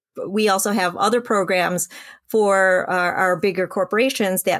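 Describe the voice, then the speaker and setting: A woman with an American accent, in an unremarkable speaking voice, talks at a fairly slow pace and medium pitch with ordinary pitch variation, on a very clean recording with a silent background. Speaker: business association executive. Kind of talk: interview. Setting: podcast.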